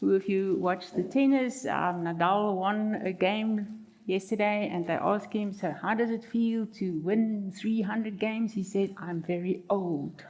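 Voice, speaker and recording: A woman speaks with a South African accent at a medium pitch. Her pace is fairly slow and her intonation fairly even. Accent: Afrikaans South African English. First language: Afrikaans. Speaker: marriage counselor. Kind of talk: seminar talk.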